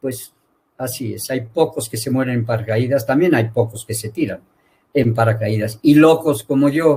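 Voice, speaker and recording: The voice is dark and mellow, somewhat breathy, with ordinary pitch variation and a moderate pace. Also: man, medium pitch for a man. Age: 70s. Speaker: veterinarian and university lecturer. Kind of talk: interview.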